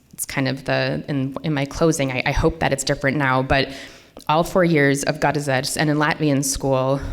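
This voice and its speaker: Very deep, low-pitched female speech with an American accent. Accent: can switch Minnesota accent on and off. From US Midwest, Minnesota. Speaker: literary translator and editor. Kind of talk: lecture. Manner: casual, many fillers.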